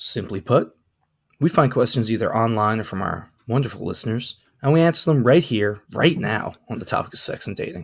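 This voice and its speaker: Somewhat breathy man's voice at medium pitch, fairly quick, with lively intonation, on a very clean recording with a silent background. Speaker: podcast co-host. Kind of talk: casual chat.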